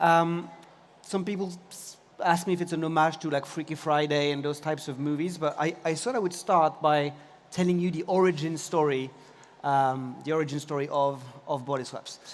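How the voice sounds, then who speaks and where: In a French accent, a man with a fairly high pitch speaks at a moderate pace with fairly even intonation. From France, Paris. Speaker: tech company CEO. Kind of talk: conference talk.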